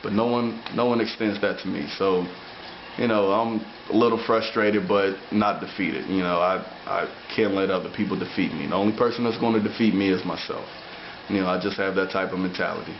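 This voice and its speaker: A man talks fairly quickly at a fairly low pitch, with fairly even intonation. Audible room echo and noticeable background noise surround him. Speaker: amateur bodybuilder. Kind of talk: video diary. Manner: slightly slurred speech.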